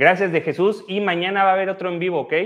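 A man talks at a very fast pace, with a quiet background behind him. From Mexico, Oaxaca (central valleys). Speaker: physiotherapist leading exercise livestreams; physiotherapist streamer. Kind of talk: live exercise class with chat reading. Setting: livestream. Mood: warm, grateful. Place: gym. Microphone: lapel.

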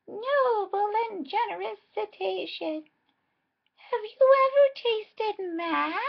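A put-on character voice pitched extremely high moves at a fairly slow pace. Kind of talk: exaggeratedly polite, flattering.

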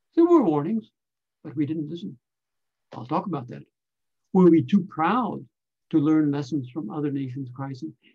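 In a quiet background, a man with a somewhat breathy, dark, mellow tone and fairly high pitch speaks with ordinary pitch variation, big swings in loudness, and long, frequent pauses. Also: moderate pace. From Canada. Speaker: scientist and consultant; invited lecturer. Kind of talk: lecture. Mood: earnest, critical. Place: home room. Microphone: webcam.

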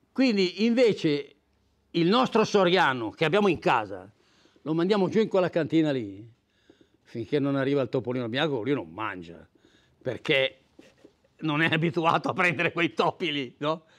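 A man's fairly high voice with very wide pitch swings and long, frequent pauses, over a quiet background. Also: moderate pace. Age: 80s+. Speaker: fly fishing veteran; guest. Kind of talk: casual talk to audience. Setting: club evening with audience. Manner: halting, repeats words. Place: meeting room. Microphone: lapel.

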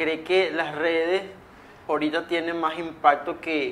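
A man speaks at a moderate pace in a flat, monotone delivery. Light background noise sits underneath. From Venezuela. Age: young. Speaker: podcast host. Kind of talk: interview. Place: studio. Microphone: lapel.

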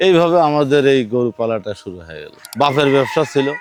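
A man talks at a medium pitch with ordinary pitch variation. The sound is dry and close with no echo, and music plays in the background. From Sirajganj, northern Bangladesh. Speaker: farmer. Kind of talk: interview testimony.

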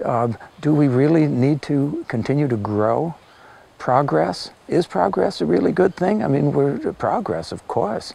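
This man has a fairly high voice and an American accent, and his pitch swings very widely. The recording is dry, with no echo. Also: fairly slow pace. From US West Coast, Los Angeles. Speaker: natural farming teacher and translator; interviewee. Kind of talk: interview. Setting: filmed interview. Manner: reflective, with hesitations. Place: forest. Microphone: lapel.

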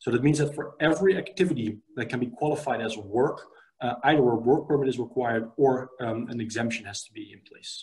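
A man with a Dutch accent talks at a fairly quick pace in a somewhat breathy, medium-pitched voice with ordinary pitch variation. His loudness swings widely, and the background is quiet. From Netherlands. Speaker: immigration lawyer. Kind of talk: interview. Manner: halting. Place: home room. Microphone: video call.

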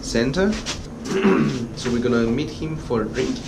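Loud background noise accompanies a man's voice. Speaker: travel vlogger. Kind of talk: casual vlog chat. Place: station. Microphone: phone near.

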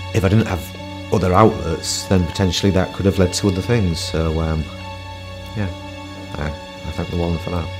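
Clear music plays in the background as a man speaks in a very deep, low pitch. His pace is fairly quick, his intonation fairly even, and his pauses long and frequent. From Hull. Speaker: entrepreneur. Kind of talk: interview answer. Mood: warm, reflective. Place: meeting room.

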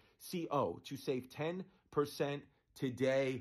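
Over a quiet background, a man speaks in a New York accent. His pitch is fairly high, with ordinary pitch variation. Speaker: comedian and podcast host; comedian, podcast host. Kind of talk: casual chat. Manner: animated. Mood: animated, storytelling.

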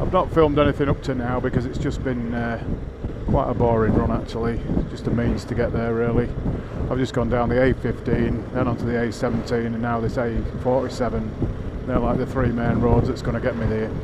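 Loud background noise around a man speaking at a moderate pace. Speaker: motorcycle vlogger. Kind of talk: casual vlog chat. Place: motorbike.

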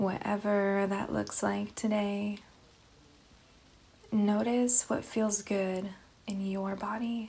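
Very slowly and with long, frequent pauses, a woman speaks in a calm, soothing, dark and mellow tone at a medium pitch, somewhat breathy and monotone with flat intonation. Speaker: meditation guide. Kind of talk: guided meditation. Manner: slow, calm, soothing.

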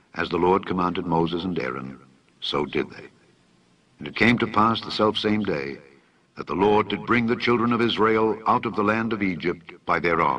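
Lively intonation marks this man's fairly low voice, which has vocal fry. He keeps a moderate pace. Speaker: scripture reader. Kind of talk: reading aloud from the Bible.

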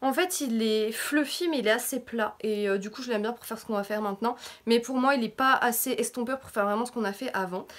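A woman talks very fast at a fairly high pitch, with ordinary pitch variation and big swings in loudness. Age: 20s. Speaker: beauty YouTuber. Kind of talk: casual makeup tutorial talk to camera. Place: home room. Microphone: phone near.

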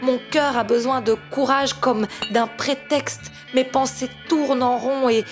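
Over music in the background, a woman with a high pitch speaks very slowly in a fairly even intonation. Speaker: slam poet. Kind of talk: spoken word poetry.

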